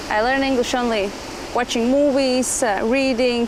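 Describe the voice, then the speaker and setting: A woman's high-pitched voice, fairly even intonation, moderate pace, with noticeable background noise and audible room echo. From Latvia. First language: Latvian. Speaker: dancer and dance entrepreneur. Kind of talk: casual interview chat. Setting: outdoors on a beach. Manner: halting, non-fluent English.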